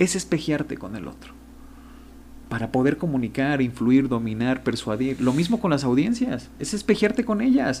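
Dark and mellow in tone, a man speaks at a moderate pace with very wide pitch swings. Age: 30s. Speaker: sociologist and communication consultant. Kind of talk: interview conversation.

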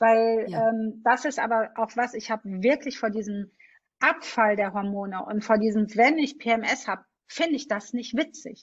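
Moderate pace and ordinary pitch variation from a woman, somewhat breathy and fairly high in pitch. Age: 40s. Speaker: podcast host. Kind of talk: interview. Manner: animated.

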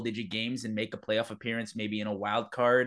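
With a Canadian accent, a man talks at a fairly quick pace and medium pitch in a normal speaking voice. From Canada. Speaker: podcast host. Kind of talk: casual interview.

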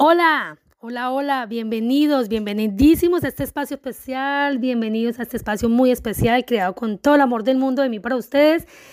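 A woman speaks at a fairly quick pace with hardly any pauses, her high pitch showing ordinary variation and an animated tone. The recording is very clean, with a silent background. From Colombia. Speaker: podcast host and life coach. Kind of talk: podcast monologue. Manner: halting, repeating words.

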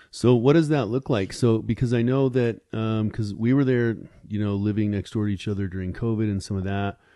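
Against a quiet background, a man speaks at a fairly low pitch in a dark, mellow tone with fairly even intonation. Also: fairly quick pace. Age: 50s. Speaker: entrepreneur and podcaster. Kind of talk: casual interview chat. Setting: podcast studio.

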